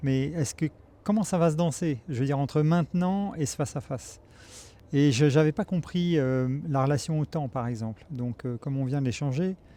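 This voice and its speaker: Fairly high in pitch with a dark, mellow tone, a man speaks at a moderate pace with ordinary pitch variation. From France (Paris). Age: 60s. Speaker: pilgrim giving a testimony. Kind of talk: testimony. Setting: outdoors in Jerusalem. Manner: halting, many hesitations.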